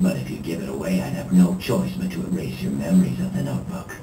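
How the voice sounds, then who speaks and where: A man does a cartoonish character voice with a very deep, low pitch. He rattles along at a very fast pace over clear background noise. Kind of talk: anime dub recording. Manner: playful.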